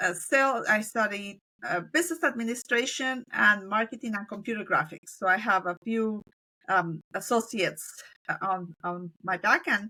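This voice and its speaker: A woman's fairly high, bright, sharp voice in a Spanish accent, at a moderate pace with lively intonation. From Colombia. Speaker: business owner. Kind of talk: interview.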